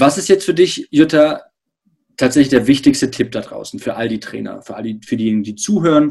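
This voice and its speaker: Lively in intonation and fairly quick, a man with a fairly high pitch talks in an ordinary speaking voice. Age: 30s. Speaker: podcast host. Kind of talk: interview.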